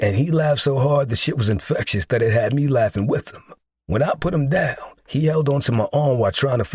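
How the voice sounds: Pitch moves in an ordinary way here. It's a natural reading voice set against a quiet backdrop.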